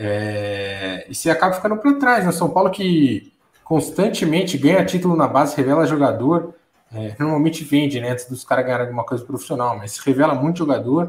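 A plain, everyday voice from a man, fairly high in pitch, with lively intonation and a fairly quick pace. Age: 30s. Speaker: football commentator. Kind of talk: casual chat.

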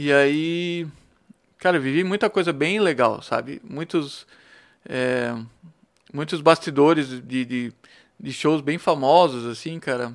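A man speaks at a fairly high pitch with ordinary pitch variation. His pace is very slow, with long, frequent pauses. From Blumenau, southern Brazil. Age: 40s. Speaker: songwriter and volunteer. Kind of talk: casual interview chat.

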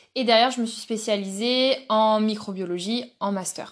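A woman speaks at a fairly slow pace. Her intonation is fairly even against a quiet background. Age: 20s. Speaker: zookeeper. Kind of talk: interview. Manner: halting.

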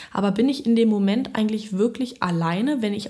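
Her pitch moves in a normal way as a woman gets through her words fairly quickly. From Berlin. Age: 20s. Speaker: music student. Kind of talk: casual chat. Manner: halting.

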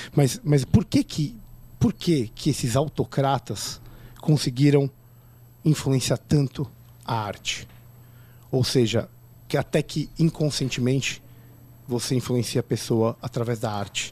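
A man speaks in a dark, mellow, somewhat breathy tone with ordinary pitch variation. His pace is fairly slow, broken by long, frequent pauses. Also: medium pitch for a man. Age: 30s. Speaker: podcast host. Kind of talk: casual chat.

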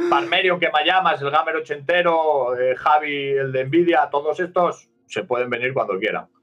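In an ordinary speaking voice, a man talks at a moderate pace with hardly any pauses, a fairly high pitch, and ordinary pitch variation. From Asturias, northern Spain. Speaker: steelworker and streamer. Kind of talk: casual chat.

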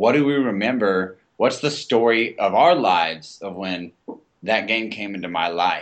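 In an American accent, a man with an unremarkable speaking voice talks fairly slowly at a fairly low pitch, his intonation lively. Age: 20s. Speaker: aspiring podcaster. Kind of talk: casual chat.

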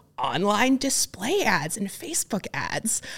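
At a very slow pace, a woman with a Midwestern accent speaks with lively intonation in a very clean recording with a silent background. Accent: General American (Midwest). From US Midwest (rural Ohio). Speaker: tech startup founder. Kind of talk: podcast interview. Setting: studio.

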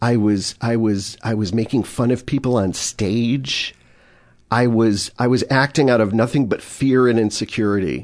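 A man with an American accent has a plain, everyday voice at a medium pitch. His intonation is fairly even, his pace moderate, and the background quiet. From Chicago area, US Midwest. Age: 40s. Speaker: addiction counselor and former improviser. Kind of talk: casual interview chat.

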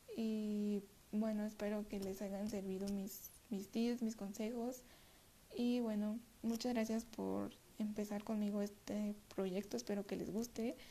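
A woman, fairly high in pitch and somewhat breathy with a dark, mellow tone, at a very slow pace in a monotone, flat intonation. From Mexico City. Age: 20s. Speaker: podcast host. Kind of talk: self-help monologue. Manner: halting, many repetitions.

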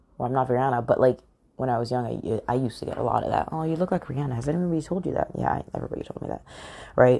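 Speaking at a very fast pace, a woman has a very deep, low pitch. Her tone is animated, with ordinary pitch variation. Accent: American. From England. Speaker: podcast host. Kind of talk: motivational solo talk.

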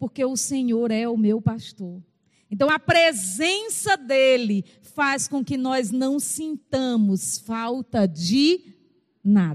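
High-pitched and swinging very widely in pitch, a woman's voice has a dry, close sound with no echo. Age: 50s. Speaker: pastor. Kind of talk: sermon.

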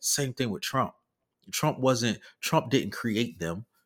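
A man with an unremarkable speaking voice talks at a fairly slow pace with lively intonation, recorded very cleanly against a silent background. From US South. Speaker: podcast co-host. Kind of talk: casual political discussion.

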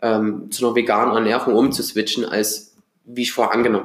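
Speaking fairly quickly, a man keeps his intonation monotone and flat. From Germany, Dresden (Saxony). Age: 20s. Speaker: podcast host. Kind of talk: solo podcast intro monologue. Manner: casual.

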